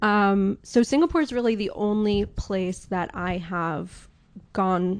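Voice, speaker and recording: Speaking very slowly in a New York accent, a woman uses a medium pitch and ordinary pitch variation against a quiet background. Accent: New York American. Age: 30s. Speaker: watch sales advisor. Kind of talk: podcast interview.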